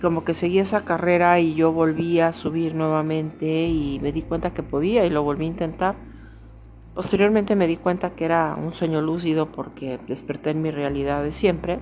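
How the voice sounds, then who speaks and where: Fairly even intonation at a moderate pace. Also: woman, fairly low pitch for a woman. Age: 50s. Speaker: spiritual podcaster. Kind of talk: personal monologue. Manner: halting.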